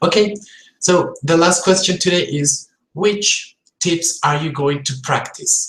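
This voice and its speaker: With a strong Colombian accent, a man speaks at a very slow pace in a high pitch with ordinary pitch variation. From Colombia, Bogotá. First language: Spanish. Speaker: English teacher. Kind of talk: live-stream tutorial.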